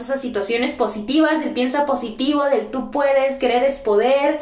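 Here a woman talks at a fairly quick pace with a high pitch. There is noticeable background noise and audible room echo. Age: 20s. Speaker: podcast host and teacher. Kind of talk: solo podcast monologue.

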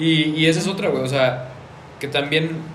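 Room echo is audible around this man's voice, along with noticeable background noise. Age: 20s. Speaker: car content creator and podcast host. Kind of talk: casual chat.

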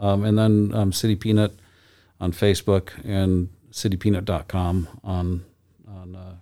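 With an American accent, a man talks in a very deep, low, dark and mellow voice with monotone, flat intonation. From Michigan, Lansing. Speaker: nut shop owner. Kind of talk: casual chat.

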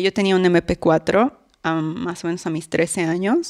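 A woman speaks in a plain, everyday voice at a fairly slow pace with fairly even intonation. The sound is dry and close with no echo, on a very clean recording with a silent background. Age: 20s. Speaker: abuse survivor. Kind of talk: testimony.

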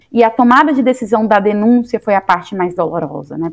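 Noticeable background noise behind a woman talking. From Bahia, Vitória da Conquista. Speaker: astrophysicist and university lecturer. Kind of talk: interview.

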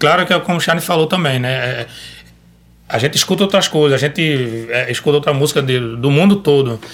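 At a fairly quick pace, a man with a fairly high pitch speaks in an unremarkable speaking voice with ordinary pitch variation. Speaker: singer-songwriter and rabeca player. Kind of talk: casual chat. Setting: studio.

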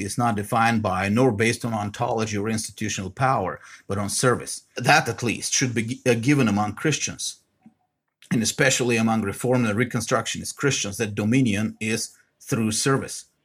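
The speaker has a Bulgarian accent. The intonation stays fairly even. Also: man. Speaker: podcast host. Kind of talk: monologue commentary.

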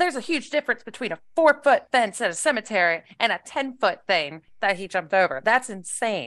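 With an American accent, a woman talks at a fairly quick pace and fairly high pitch, her voice making very wide pitch swings with hardly any pauses, in a dry, close sound with no echo against a quiet background. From West Virginia. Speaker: podcast host. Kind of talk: casual comedic chat.

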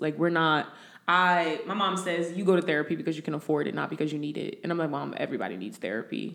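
Speaking at a fairly quick pace with an American accent, a woman has a fairly low pitch and vocal fry. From New Jersey. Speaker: recruiter. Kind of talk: casual chat.

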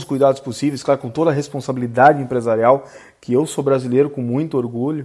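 Medium in pitch with fairly even intonation, a man speaks in a plain, everyday voice. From Rio Grande do Sul, Brazil. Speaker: podcast host, company CEO. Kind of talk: interview.

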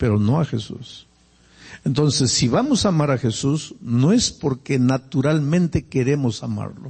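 Somewhat breathy and fairly high-pitched, a man speaks at a fairly slow pace with ordinary pitch variation. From Peruvian Andes. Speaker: pastor. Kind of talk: sermon. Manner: conversational.

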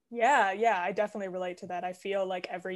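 Speaking at a very fast pace, a woman with a medium-pitched voice talks with a Canadian accent. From Canada. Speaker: mental health professional and actor. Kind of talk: casual interview chat.

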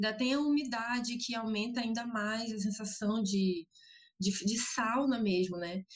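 At a fairly slow pace, a woman with a fairly high pitch talks in an unremarkable speaking voice. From Amapá, northern Brazil. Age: 20s. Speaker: environmental activist and psychology student. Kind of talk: casual interview.

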